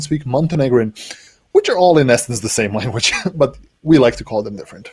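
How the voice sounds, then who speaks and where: Speaking in a Serbian accent, a man's voice moves in very wide pitch swings. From Serbia, Subotica (north, near Hungarian border). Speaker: cloud developer advocate. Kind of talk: interview. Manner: hesitant, many fillers.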